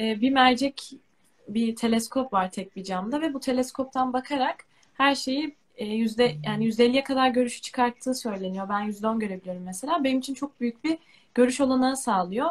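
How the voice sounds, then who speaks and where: This woman's voice is high, with normal pitch movement and a moderate speed. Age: 20s. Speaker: university student with albinism. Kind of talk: live stream interview.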